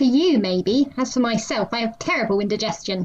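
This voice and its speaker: A put-on character voice, female-sounding and fairly high-pitched for a woman. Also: fairly quick pace. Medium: read story. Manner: deadpan, formal, literal.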